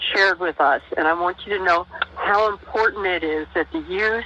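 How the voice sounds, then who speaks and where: Lively intonation marks this woman's plain, everyday voice. She keeps a moderate pace. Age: 60s. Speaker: elder guest. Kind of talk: encouragement.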